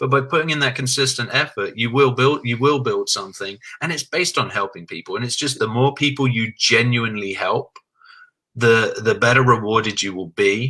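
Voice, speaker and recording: A man's bright, sharp voice at medium pitch in an English accent, at a fairly quick pace. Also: ordinary pitch variation, very clean recording, silent background. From England. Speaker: insurance agent. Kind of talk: interview.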